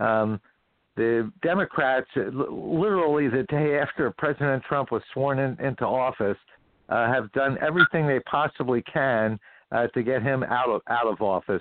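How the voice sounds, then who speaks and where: A man's normal speaking voice at a medium pitch, with ordinary pitch variation and a moderate pace. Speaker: economist and finance professor. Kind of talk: political talk radio discussion. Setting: phone call.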